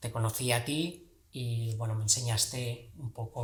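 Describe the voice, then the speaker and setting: The man's voice is somewhat breathy and medium in pitch. His intonation stays flat and monotone. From Valencia, Spain. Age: 40s. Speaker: movement practitioner. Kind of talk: casual chat.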